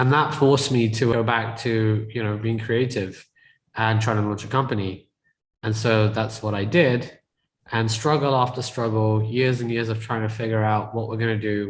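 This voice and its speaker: A man's somewhat breathy voice sits at a medium pitch and moves in a monotone, flat intonation. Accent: British. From UK. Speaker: tech entrepreneur and real estate investor. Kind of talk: podcast interview.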